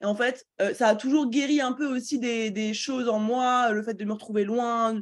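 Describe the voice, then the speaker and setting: A woman with a normal speaking voice, fairly high in pitch, with fairly even intonation and a quiet background. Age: 20s. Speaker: entrepreneur and business coach. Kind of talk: interview.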